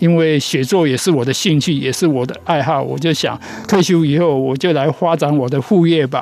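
Noticeable background noise behind a man's moderately paced speech, fairly high in pitch and with ordinary pitch variation. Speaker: children's author. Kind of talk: interview.

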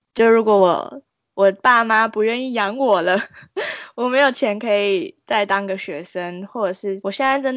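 This woman has a plain, everyday voice, medium in pitch, delivered at a moderate pace with ordinary pitch variation. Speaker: university student, podcast co-host. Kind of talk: casual chat.

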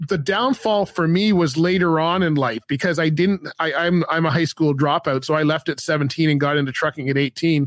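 Using a plain, everyday voice, a man speaks at a fairly quick pace and a fairly high pitch, with ordinary pitch variation and very even loudness, in a dry, close sound with no echo. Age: 50s. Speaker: podcast host and former truck driver. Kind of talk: casual interview.

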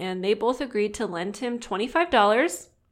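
Speaking with an American accent, a woman talks at medium pitch with ordinary pitch variation. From Southern California. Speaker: podcast host.

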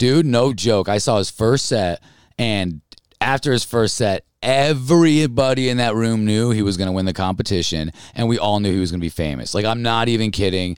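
A man with an American accent talks fairly quickly in a plain, everyday voice at medium pitch, with lively intonation. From upstate New York (Albany). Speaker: stand-up comedian. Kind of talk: casual chat.

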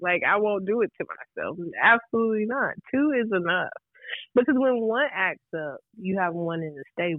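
Her fairly high pitch and lively intonation mark a woman talking at a moderate pace in an ordinary speaking voice. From Raleigh, North Carolina. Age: 20s. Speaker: podcast guest. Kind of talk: casual chat. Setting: phone call.

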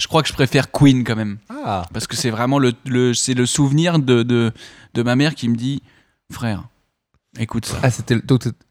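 A man talks at a moderate pace with medium pitch and ordinary pitch variation, recorded very cleanly against a silent background. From Paris region, France. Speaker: actor. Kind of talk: casual chat.

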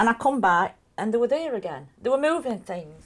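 Using very wide pitch swings and vocal fry, a woman with a northern English accent speaks at a fairly high pitch. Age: 40s. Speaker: alien abductee. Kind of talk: documentary interview.

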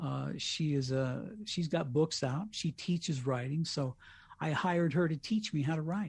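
This speaker has an American accent and ordinary pitch variation. The pace is moderate, and the background is quiet. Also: man. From US Colorado. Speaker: radio host with MS. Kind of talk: casual interview.

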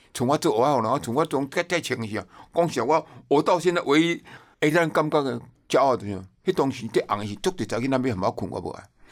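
Captured in a very clean recording with a silent background, the speaker talks at a very fast pace with lively intonation. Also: man, fairly high pitch for a man. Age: 70s. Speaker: TV producer and tour guide. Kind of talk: casual interview chat. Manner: animated.

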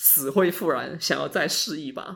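Vocal fry runs through a man's fairly high voice, which moves at a moderate pace with ordinary pitch variation. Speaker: podcast host. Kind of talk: casual chat.

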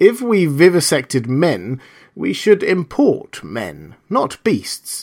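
Putting on a character voice, a man speaks slowly at a fairly high pitch, with very wide pitch swings, a slightly mellow tone and a slightly husky edge.

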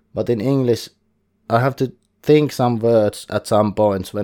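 A man at medium pitch with a Finnish accent and a dark, mellow tone. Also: very clean recording, silent background. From Finland. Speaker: board game podcaster. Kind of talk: solo podcast monologue. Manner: careful, thinking about pronunciation.

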